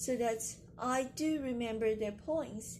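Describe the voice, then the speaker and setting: Speaking with a Chinese accent, a woman has a fairly high pitch and ordinary pitch variation. Her pace is very slow, with audible room echo. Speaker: poet and video creator. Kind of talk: casual explainer vlog. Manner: halting, with fillers.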